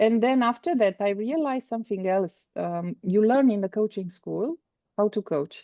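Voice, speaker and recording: A woman speaks in a Romanian accent at a fairly high pitch. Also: lively intonation, moderate pace. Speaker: business coach. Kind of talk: interview. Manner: halting.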